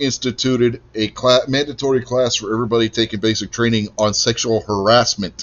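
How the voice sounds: Speaking at a moderate pace, a man uses a medium pitch and fairly even intonation.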